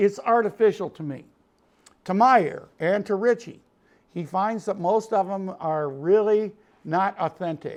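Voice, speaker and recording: A man's high-pitched voice in a Chicago accent, fairly slow, with ordinary pitch variation over a quiet background. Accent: Chicago twang. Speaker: music producer and studio owner. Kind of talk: tutorial. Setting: recording studio. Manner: animated.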